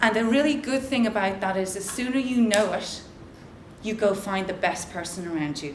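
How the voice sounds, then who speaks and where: Over noticeable background noise and audible room echo, a woman speaks in an animated tone at medium pitch and a moderate pace, with ordinary pitch variation. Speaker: social entrepreneur and conference speaker. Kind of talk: motivational talk. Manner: loud.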